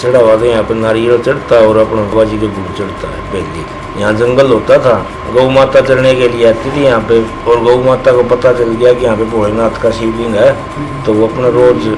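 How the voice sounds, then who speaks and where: A man speaks in a monotone, with flat intonation. Noticeable background noise is present. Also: medium pitch for a man, moderate pace. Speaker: local temple devotee telling the legend. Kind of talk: interview answer. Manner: casual, conversational.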